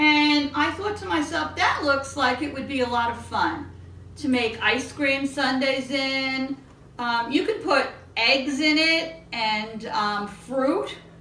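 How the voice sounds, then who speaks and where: A woman speaks at a very slow pace in a raised, projected voice. Audible room echo surrounds her. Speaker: home baking host. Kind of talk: casual cooking show chat. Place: kitchen. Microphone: camera far.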